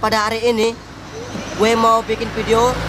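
A man's high-pitched voice against noticeable background noise. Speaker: vlogger. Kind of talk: casual vlog chat. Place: garden. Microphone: phone near.

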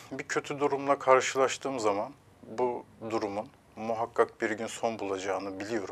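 Speaking at a moderate pace is a man. His intonation stays fairly even. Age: 30s. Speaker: relationship counselor; guest. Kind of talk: TV interview; interview answer. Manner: hesitant with filler sounds. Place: studio. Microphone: lapel.

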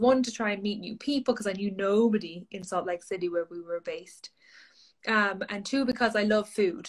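A woman speaks with an Irish accent at a moderate pace and a fairly high pitch. Her pitch varies in an ordinary way, and the background is quiet. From Ireland. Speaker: social media coach. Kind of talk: interview. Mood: friendly, upbeat. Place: home room. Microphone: video call.

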